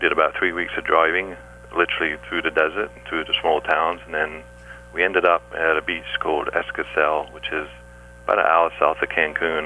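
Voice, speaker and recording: A man with an English accent at a fairly quick pace, with noticeable background noise. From England. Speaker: scuba diver and underwater photographer. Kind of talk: radio interview.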